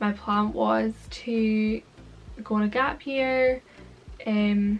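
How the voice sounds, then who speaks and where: Over music in the background, a voice with a Scottish accent keeps its intonation fairly even. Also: woman. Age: 20s. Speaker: vlogger. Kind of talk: casual chat.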